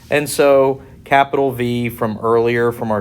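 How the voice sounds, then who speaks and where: A man speaks at a medium pitch in an unremarkable speaking voice. His intonation stays fairly even. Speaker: engineering lecturer. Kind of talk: tutorial.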